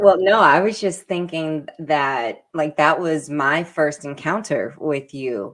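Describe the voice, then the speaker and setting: A woman with a plain, everyday voice and an American accent speaks fairly slowly at a fairly low pitch. Her intonation is lively, and the recording is very clean with a silent background. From New York, Brooklyn. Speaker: radio show co-host. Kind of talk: interview conversation.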